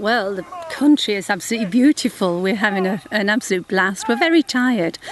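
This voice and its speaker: A woman with a fairly high pitch talks at a fairly quick pace, her intonation lively and her tone enthusiastic. Noticeable background noise runs underneath. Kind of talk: interview answer.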